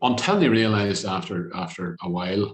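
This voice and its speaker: With a Northern Irish accent, a man speaks at a moderate pace in a very deep, low voice. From Derry, Northern Ireland. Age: old. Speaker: TV presenter and producer. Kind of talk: interview answer.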